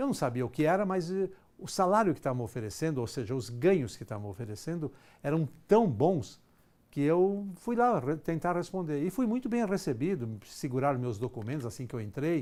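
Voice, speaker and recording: A man's dark, mellow, fairly high voice with very wide pitch swings, at a fairly quick pace, in a very clean recording with a silent background. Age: 60s. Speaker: executive trainer. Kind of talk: lecture.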